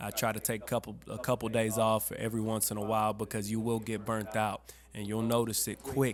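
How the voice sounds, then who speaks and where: A man's medium-pitched voice in a flat monotone. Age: 20s. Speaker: auto shop owner and musician. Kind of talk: podcast interview. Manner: casual, with many fillers.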